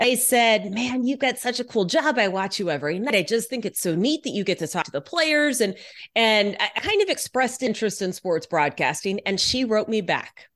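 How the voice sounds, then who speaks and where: Lively intonation and a plain, everyday voice at a moderate pace, with hardly any pauses over a quiet background. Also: woman, fairly high pitch for a woman. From Texas, Houston. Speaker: sports reporter. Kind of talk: casual interview.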